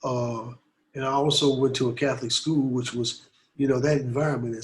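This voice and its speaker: This man has a medium-pitched, somewhat breathy voice. He talks at a moderate pace with monotone, flat intonation. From US Midwest, Detroit. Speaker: anti-war activist and artist. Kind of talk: interview. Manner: conversational, many fillers.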